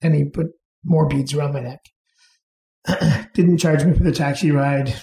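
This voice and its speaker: A man with a Canadian accent, fairly high in pitch, somewhat breathy, with a dark, mellow tone and fairly even intonation. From England. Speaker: restaurant owner. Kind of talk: interview answer.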